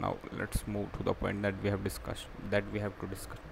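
Noticeable background noise sits under a man's voice as he talks at a moderate pace. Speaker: english learner vlogger. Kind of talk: casual vlog chat. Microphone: webcam.

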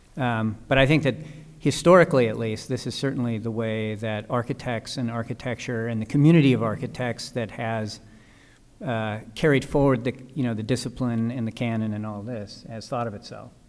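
At a fairly quick pace, a man talks with a medium pitch and fairly even intonation. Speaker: architect. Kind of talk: panel discussion. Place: hall. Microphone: podium.

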